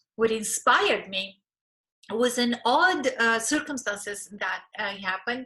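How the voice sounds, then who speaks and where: A woman's fairly high voice with a Bulgarian accent, bright and sharp in tone, at a fairly slow pace. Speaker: relationship coach and therapist. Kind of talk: course promo talk.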